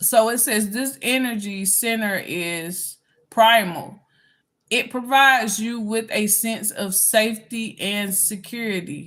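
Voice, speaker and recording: Speaking at a very slow pace, a woman with a Southern US accent has a fairly high pitch. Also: ordinary pitch variation. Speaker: spiritual healer. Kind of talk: reading aloud with commentary. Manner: halting, many fillers.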